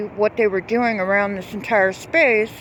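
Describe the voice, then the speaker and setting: A woman's fairly high voice against noticeable background noise. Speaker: local resident vlogger. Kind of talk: casual video commentary. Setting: outdoors by a pond. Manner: halting, many fillers.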